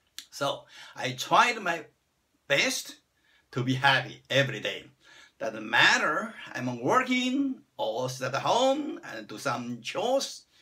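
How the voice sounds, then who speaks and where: A man speaks at a very slow pace in a Chinese accent. His loudness rises and falls sharply, broken by long, frequent pauses. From China. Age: 60s. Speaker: vlogger. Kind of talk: personal self-introduction monologue.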